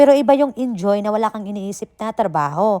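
This woman's voice has a dark, mellow tone and very wide pitch swings. The sound is dry and close, with no echo. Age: 40s. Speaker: vlogger and overseas worker. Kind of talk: casual vlog monologue. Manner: animated, frequent laughter.

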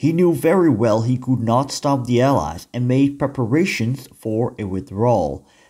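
A man with a Dutch accent speaks at a moderate pace in a medium pitch, using lively intonation. His tone is dark and mellow and somewhat breathy. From Netherlands. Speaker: history teacher and YouTuber. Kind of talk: educational narration. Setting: outdoors on location.

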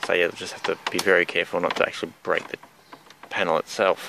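A man talks fast with vocal fry and a low pitch. His tone is bright and sharp, with little pitch movement.

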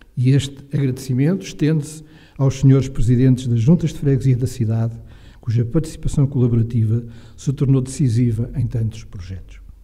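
A man speaks at a fairly quick pace with a dark, mellow tone and a somewhat breathy quality. His pitch moves in an ordinary way over a quiet background. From Portugal, near Caldas da Rainha; Portugal. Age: 60s. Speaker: retiring professor and historian; retiring professor. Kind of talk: lecture. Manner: formal. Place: hall. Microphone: podium.

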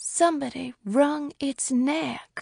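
A woman uses a put-on character voice. It sits high in pitch. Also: dry, close sound with no echo.

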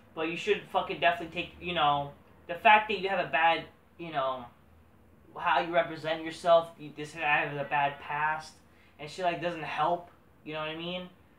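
A man with a high voice speaks at a moderate pace, with fairly even intonation and long, frequent pauses. Audible room echo is present. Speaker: wrestling commentary vlogger. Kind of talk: casual solo commentary. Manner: rambling, profane, halting. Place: home room. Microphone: camera far.

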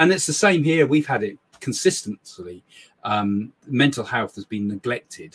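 Moderate-paced male speech, pitch leaping very widely up and down. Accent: English. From England. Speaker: psychic medium and live show host; live show host. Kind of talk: casual live chat. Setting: live stream from small home office. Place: home room.

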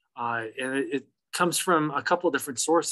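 Against a quiet background, a man speaks at a fairly quick pace with a bright, sharp tone. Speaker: presenter. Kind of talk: lecture. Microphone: video call.

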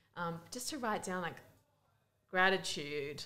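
In an Australian accent, the speaker talks at a fairly slow pace with a bright, sharp tone. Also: woman. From Melbourne, Australia. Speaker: youth ministry worker and speaker. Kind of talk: casual interview. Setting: conference. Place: booth. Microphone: studio mic.

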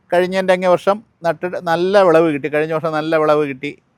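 A man's voice, dry and close with no echo. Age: 70s. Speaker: retired government employee, home gardener. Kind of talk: tutorial.

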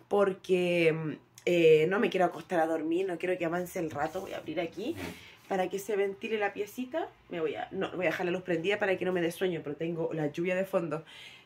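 A woman in a normal speaking voice talks at a fairly quick pace, her fairly low pitch held to fairly even intonation. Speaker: home vlogger. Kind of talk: casual vlog chat. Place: home room. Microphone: phone near.

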